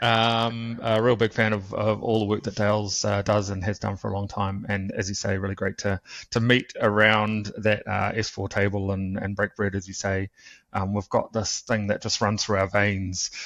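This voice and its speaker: With a New Zealand accent, a man speaks in a fairly low, monotone, flat voice at a moderate pace against a quiet background. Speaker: cybersecurity instructor. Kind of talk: interview. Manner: halting, many fillers.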